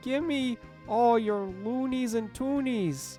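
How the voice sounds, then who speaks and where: With clear music in the background, a female-sounding put-on character voice, fairly high in pitch, moves at a very slow pace. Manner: mock-threatening.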